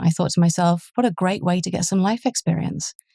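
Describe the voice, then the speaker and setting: A woman with an English accent at a very fast pace, fairly low in pitch, somewhat breathy with a dark, mellow tone, in a dry, close sound with no echo. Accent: English accent, noticeable. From southern England. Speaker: police superintendent. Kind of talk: interview.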